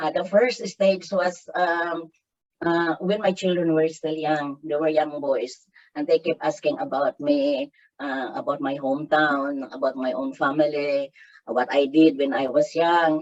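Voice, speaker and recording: A woman speaks at a fairly slow pace. Her pitch is very deep and low. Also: ordinary pitch variation. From Philippines, Davao del Sur. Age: 60s. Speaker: writer and development worker. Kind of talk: interview. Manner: halting, many fillers.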